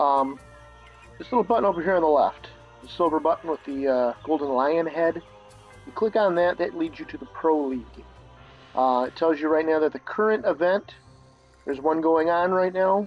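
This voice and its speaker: A fairly high-pitched man at a moderate pace with ordinary pitch variation, music in the background. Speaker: gamer. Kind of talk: game tutorial voice-over. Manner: hesitant, casual.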